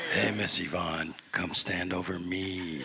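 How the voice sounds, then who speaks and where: A man uses a put-on character voice that is gravelly, with very deep, low pitch. He talks at a fairly slow pace in a monotone, flat intonation. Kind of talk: jazzy, laid-back.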